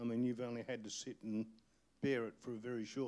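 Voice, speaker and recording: A man with an Australian accent speaks in a dark, mellow tone. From outback New South Wales. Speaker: community activist. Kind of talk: panel discussion. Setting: stage with audience. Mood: angry, indignant. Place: hall. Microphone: handheld.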